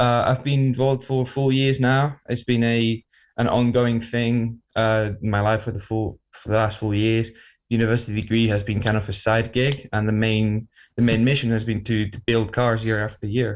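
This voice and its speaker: In a very clean recording with a silent background, a man talks at a moderate pace and medium pitch with monotone, flat intonation. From Spain. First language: Spanish. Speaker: university motorsport team leader. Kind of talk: radio interview.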